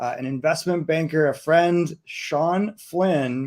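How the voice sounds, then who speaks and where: Here is an unremarkable speaking voice, from a man with a Canadian accent. His pitch is fairly high, with ordinary pitch variation. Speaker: event host. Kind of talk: event hosting.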